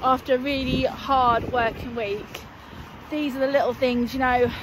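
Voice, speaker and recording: A woman's high-pitched voice at a fairly slow pace with fairly even intonation, a dry sound with no echo and noticeable background noise. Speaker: equestrian vlogger. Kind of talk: casual vlog chat. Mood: cheerful, chatty. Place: open country. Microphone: phone near.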